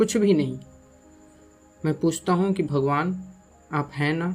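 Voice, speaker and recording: Music plays in the background as a man speaks quietly in a fairly high voice with ordinary pitch variation. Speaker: voiceover artist. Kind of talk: spiritual reflection monologue. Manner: slow, quiet; emotional.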